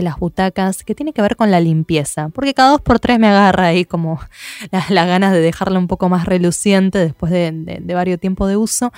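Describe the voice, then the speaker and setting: A woman's medium-pitched voice with an Argentine accent, ordinary pitch variation and a very fast pace, in a dry, close sound with no echo. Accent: Argentine Spanish (Rioplatense). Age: 30s. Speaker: podcast host. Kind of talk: scripted narration; interview.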